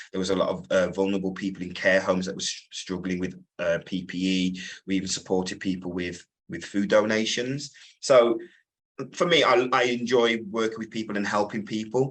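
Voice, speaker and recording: Very fast speech from a man, fairly low in pitch, with ordinary pitch variation. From Wolverhampton, West Midlands England. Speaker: business owner. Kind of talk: interview. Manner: hesitant, many fillers.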